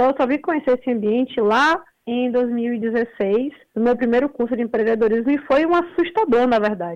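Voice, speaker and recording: A woman talks in a high voice. Her intonation is lively. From Brazil, Salvador (Bahia). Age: 20s. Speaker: entrepreneur. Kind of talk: interview.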